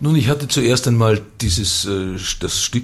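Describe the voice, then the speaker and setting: A man speaks at a moderate pace with lively intonation. Noticeable background noise runs underneath. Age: 60s. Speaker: theatre director. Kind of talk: radio interview.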